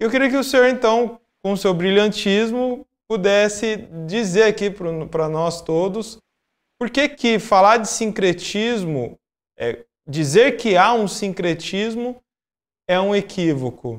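A high-pitched man at a very slow pace, with ordinary pitch variation, long, frequent pauses and a quiet background. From Brazil. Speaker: podcast host and Umbanda practitioner; podcast host. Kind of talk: interview. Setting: live stream. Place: home room. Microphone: video call.

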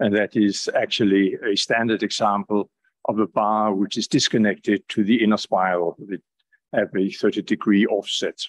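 A plain, everyday voice from a man, fairly low in pitch, with fairly even intonation at a moderate pace. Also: quiet background. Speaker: speaker. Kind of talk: lecture. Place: hall.

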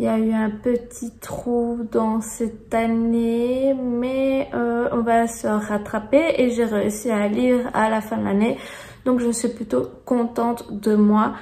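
Very slow speech in a flat, monotone delivery. Background noise is clearly audible. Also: woman. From Belgium. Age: 30s. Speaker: booktuber. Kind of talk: casual talk to camera.

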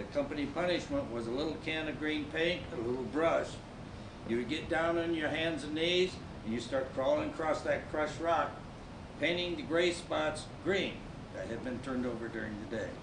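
A man with an American accent speaks at a moderate pace and a fairly high pitch. His pitch varies in an ordinary way, with noticeable background noise behind him. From Nebraska. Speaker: Army Ranger Vietnam veteran. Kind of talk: staged testimony. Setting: stage with audience. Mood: earnest, grave. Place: stage. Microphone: camera far.

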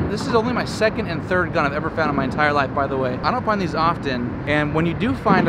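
The sound is dry, with no echo. Loud background noise is present. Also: man. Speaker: river diver vlogger. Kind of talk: casual vlog chat. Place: waterside. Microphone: phone near.

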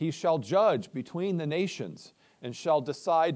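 Against a quiet background, a man speaks fairly slowly in a high pitch with ordinary pitch variation. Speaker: preacher. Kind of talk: scripture reading and prayer. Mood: solemn, measured. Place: church.

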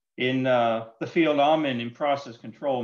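In a quiet background, a man keeps a moderate pace and fairly even intonation. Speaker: presenter. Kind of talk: lecture. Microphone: video call.

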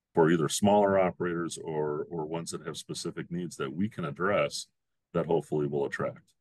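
A man speaks in a very deep, low voice at a fairly quick pace with fairly even intonation. The background is quiet and the sound is dry, with no echo. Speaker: guest. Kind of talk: interview answer. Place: office. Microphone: video call.

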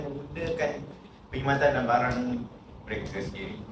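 A man talks at a very fast pace with very wide pitch swings, with audible room echo and noticeable background noise. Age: 30s. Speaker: panelist, accountant. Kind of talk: panel discussion.

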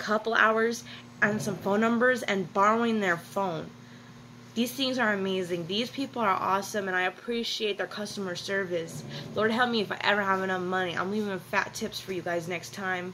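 A woman speaks with ordinary pitch variation over noticeable background noise. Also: moderate pace. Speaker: vlogger. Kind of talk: casual vlog chat. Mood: grateful, earnest. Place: home room. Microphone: phone near.

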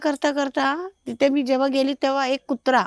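A woman's high-pitched voice, dry and close with no echo. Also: very clean recording, silent background. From Konkan, Maharashtra. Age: 50s. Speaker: host's mother. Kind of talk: personal storytelling. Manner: halting.

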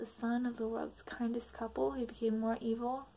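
The voice reads aloud in an unforced way.

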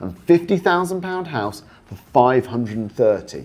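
Using vocal fry, a man speaks at a moderate pace with very wide pitch swings. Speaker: property investment coach. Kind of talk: talking-head explainer. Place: studio. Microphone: lapel.

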